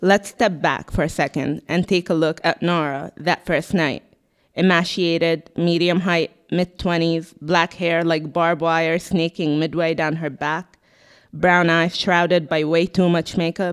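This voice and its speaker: The intonation is flat and monotone over a quiet background. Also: woman. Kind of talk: literary reading. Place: shop. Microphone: handheld.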